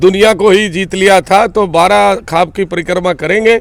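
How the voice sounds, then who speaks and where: His pitch is high. The man's pitch variation is ordinary. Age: 60s. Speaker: local politician, retired paramilitary officer. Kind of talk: interview.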